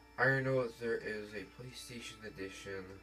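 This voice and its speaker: With music in the background, a man speaks quietly at a fairly slow pace. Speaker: gamer. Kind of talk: gameplay commentary.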